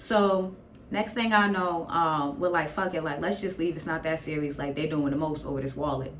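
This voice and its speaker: A woman with an American accent, fairly low in pitch, at a moderate pace with ordinary pitch variation, against noticeable background noise. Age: 20s. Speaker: YouTuber. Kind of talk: casual storytime talk to camera. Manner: animated, comedic, profane.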